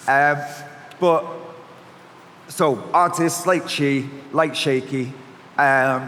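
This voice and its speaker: A man speaks in a Mancunian accent at a fairly high pitch. His intonation is fairly even, with noticeable background noise. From Manchester, northern England. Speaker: agency founder and panel moderator. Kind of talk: panel discussion.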